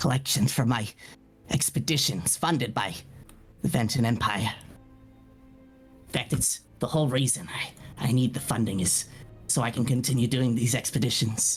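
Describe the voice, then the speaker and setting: A man puts on a raspy character voice at a medium pitch, talking at a moderate pace. He leaves long, frequent pauses as clear music plays in the background. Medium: actual play. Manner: stammering, hesitant.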